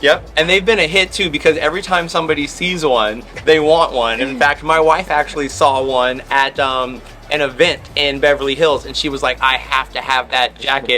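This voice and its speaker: Music plays in the background. The speaker sounds animated, moving at a moderate pace with ordinary pitch variation. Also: man, fairly high pitch for a man. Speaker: family travel vlogger.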